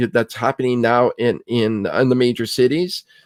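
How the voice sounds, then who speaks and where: A man has an unremarkable speaking voice at medium pitch. He talks at a fairly slow pace in a dry, close sound with no echo. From Canada, Ontario (Kitchener-Waterloo area). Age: 60s. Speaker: film critic. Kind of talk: casual interview.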